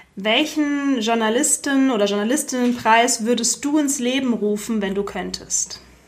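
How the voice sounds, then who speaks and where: The speech has hardly any pauses and ordinary pitch variation, with noticeable background noise behind it. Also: woman, high pitch for a woman, moderate pace. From Germany. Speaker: podcast host. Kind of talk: interview.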